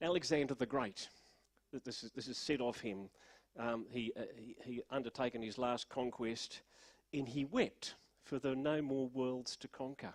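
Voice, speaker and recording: A man with a medium pitch speaks at a fairly slow pace and with fairly even intonation, the sound dry and close with no echo. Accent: Australian. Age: 60s. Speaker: pastor. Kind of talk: sermon. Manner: halting.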